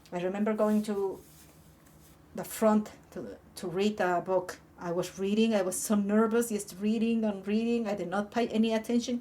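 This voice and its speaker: A woman with an Andean accent talks at a moderate pace in a medium pitch, her intonation monotone and flat. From Peru, Andean highlands. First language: Quechua. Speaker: YouTuber. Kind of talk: personal storytelling. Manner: halting.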